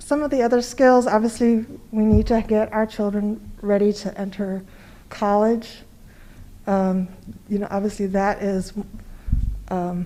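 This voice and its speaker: A woman with a medium-pitched, dark, mellow voice speaks with fairly even intonation. Long pauses come often. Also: fairly slow pace. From South Africa. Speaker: board member candidate. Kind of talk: interview. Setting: public board meeting.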